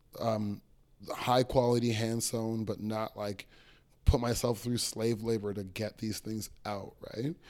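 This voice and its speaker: Someone with a Toronto accent speaks at a fairly slow pace in a very clean recording with a silent background. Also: man. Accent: Canadian English (Toronto). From Toronto, Canada. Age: 20s. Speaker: clothing artist and small business owner. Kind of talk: casual interview chat.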